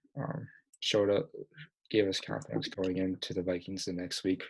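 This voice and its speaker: A man speaks quietly at a moderate pace, his fairly low voice moving with ordinary pitch variation. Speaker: podcast host. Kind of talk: casual chat. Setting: home basement, late at night. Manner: quiet, hushed.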